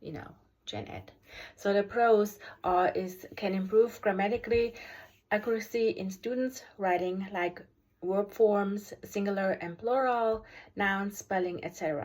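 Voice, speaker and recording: A woman with a German accent at a fairly slow pace, fairly even in intonation, with big swings in loudness. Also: medium pitch for a woman. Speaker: special education teacher. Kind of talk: video review presentation. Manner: halting, many fillers.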